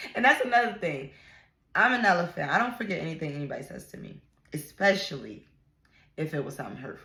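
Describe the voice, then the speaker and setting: A woman with a bright, sharp tone and fairly low pitch talks at a very fast pace, with very wide pitch swings. Long, frequent pauses break up her speech. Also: big swings in loudness. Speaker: vlogger. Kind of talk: casual vlog rant. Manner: loud.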